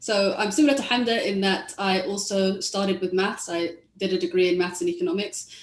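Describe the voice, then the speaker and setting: A woman with a London accent at a medium pitch and a fairly quick pace. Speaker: tech policy economist. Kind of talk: panel discussion.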